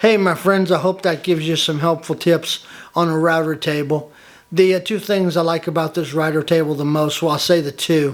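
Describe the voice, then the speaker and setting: With a Southern US accent, a man talks at a fairly quick pace. His pitch is fairly high and his intonation fairly even. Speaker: woodworking hobbyist YouTuber. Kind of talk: tutorial. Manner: friendly and casual.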